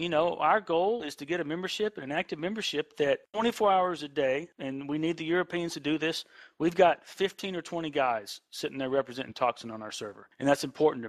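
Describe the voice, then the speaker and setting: In a very clean recording with a silent background, a man with an American accent talks at a fairly high pitch, his intonation lively and his speech hardly pausing. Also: fairly quick pace, big swings in loudness. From Texas. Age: 30s. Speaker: gaming clan leader. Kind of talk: podcast interview. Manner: animated.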